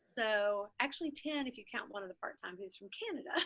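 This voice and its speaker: The woman's voice has a bright, sharp tone. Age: 60s. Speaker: coffee shop founder. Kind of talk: interview. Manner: halting.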